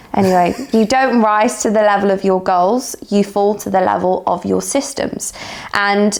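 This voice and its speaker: Against noticeable background noise, a woman talks at a moderate pace with a medium pitch. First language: not English. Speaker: bodybuilding coach and podcast co-host. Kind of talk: casual chat. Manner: animated.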